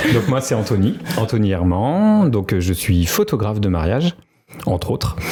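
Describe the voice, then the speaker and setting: A man with fairly low pitch, lively intonation, very even loudness and a moderate pace. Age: 40s. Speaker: wedding photographer. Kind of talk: podcast interview. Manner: hesitant, many filler sounds.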